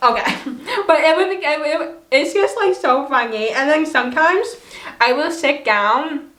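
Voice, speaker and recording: The intonation is lively. Audible room echo comes through. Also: woman, high pitch for a woman, moderate pace. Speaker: vlogger. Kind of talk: casual vlog talk. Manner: loud when not understood.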